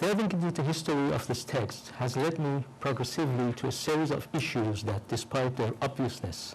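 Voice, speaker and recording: Speaking with a non-native accent at a moderate pace, the voice is somewhat breathy, with ordinary pitch variation, very even loudness, and audible room echo. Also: man. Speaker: professor. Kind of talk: lecture. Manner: reading a prepared text.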